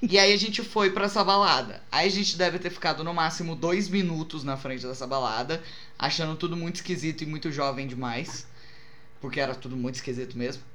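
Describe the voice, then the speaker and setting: Against noticeable background noise and audible room echo, a man with a fairly high pitch speaks at a fairly quick pace with ordinary pitch variation. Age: 20s. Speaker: podcast co-host. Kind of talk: casual chat, storytelling.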